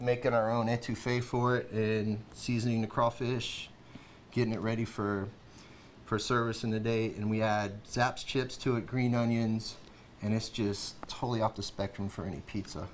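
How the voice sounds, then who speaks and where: A man speaks at a moderate pace in a monotone, flat intonation, with light background noise behind him. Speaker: guest. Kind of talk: interview answer. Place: studio. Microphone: lapel.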